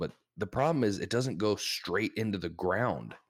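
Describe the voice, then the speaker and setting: With an American accent, a man speaks at a moderate pace. The recording is very clean, with a silent background. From US Midwest. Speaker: podcast host. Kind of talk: casual chat.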